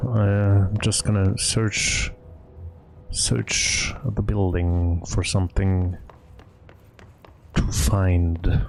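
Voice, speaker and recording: A man's very deep, low voice at a very slow pace, with long, frequent pauses, very even loudness, ordinary pitch variation and music in the background. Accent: non-native. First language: not English. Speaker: gaming streamer. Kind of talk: let's play commentary. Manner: halting.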